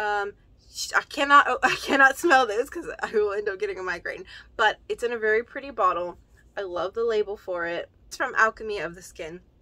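At a very fast pace, a woman speaks with a bright, sharp tone and lively intonation. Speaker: unboxing vlogger. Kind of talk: casual vlog chat. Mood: cheerful, laughing at times. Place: home room.

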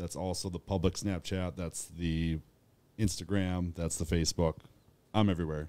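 A man is speaking. The tone is dark and mellow. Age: 30s. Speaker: clothing creator and leatherworker; clothing creator. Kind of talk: casual chat. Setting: studio. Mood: relaxed, friendly. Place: studio. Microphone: studio mic.

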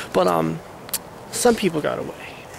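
A man speaks at a fairly slow pace. The sound is dry with no echo, though background noise is noticeable. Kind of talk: confessional talk to camera, acted. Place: forest.

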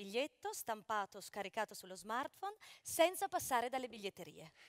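Very wide pitch swings run through this fairly quick delivery. The background is quiet. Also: woman. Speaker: presenter, reads announcements; presenter. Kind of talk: press conference hosting. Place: stage.

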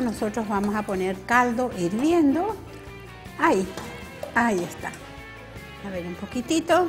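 Faint music plays behind a woman who speaks very slowly in a high pitch. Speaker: TV cooking show host. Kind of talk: tutorial. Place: studio. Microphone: lapel.

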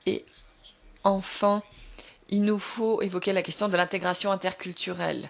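A woman of medium pitch speaks at a fairly slow pace in a monotone, flat intonation, with very even loudness and long, frequent pauses. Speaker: panel moderator. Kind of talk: moderated panel discussion, interpreted. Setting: conference hall.

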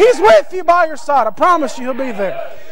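Noticeable background noise sits behind a man with an extremely high pitch, an animated tone, and very wide pitch swings. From US Northeast. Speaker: preacher. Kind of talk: sermon. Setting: church. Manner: animated, emphatic, assertive. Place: church. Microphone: podium.

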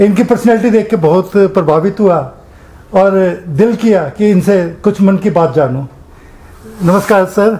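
A man speaks with a high pitch and ordinary pitch variation at a fairly slow pace. He leaves long, frequent pauses, and his loudness stays very even. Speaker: interviewer. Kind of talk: casual interview questions. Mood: warm, respectful, cheerful. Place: home room.

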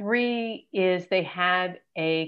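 Lively intonation carries through this voice over a quiet background. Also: woman. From Los Angeles. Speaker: entertainment career coach and TV executive; entertainment career coach. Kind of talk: interview. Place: home room. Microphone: video call.

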